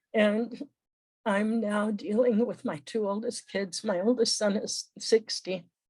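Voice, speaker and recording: A somewhat breathy woman's voice, fairly high in pitch, at a fairly slow pace with fairly even intonation. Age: 80s+. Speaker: training participant. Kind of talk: group sharing. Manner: halting.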